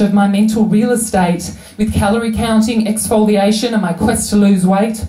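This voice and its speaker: A woman at a fairly high pitch keeps a moderate pace with fairly even intonation. Noticeable background noise is present. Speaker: slam poet. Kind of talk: poetry slam performance.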